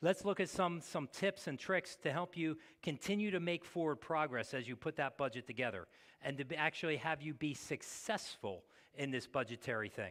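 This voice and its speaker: A man with a plain, everyday voice and a fairly high pitch speaks at a moderate pace with lively intonation in a very clean recording with a silent background. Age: 60s. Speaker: pastor. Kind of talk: sermon.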